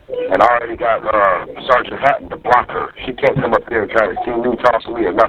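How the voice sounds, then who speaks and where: Very fast speech over noticeable background noise. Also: man. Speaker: jail inmate. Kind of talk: phone call. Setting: jail phone call. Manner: loud. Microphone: muffled jail phone line.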